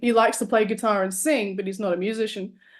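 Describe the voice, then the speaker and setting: A woman with an Australian accent, talking at a very fast pace. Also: quiet background. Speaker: artist and musician. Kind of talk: casual interview chat.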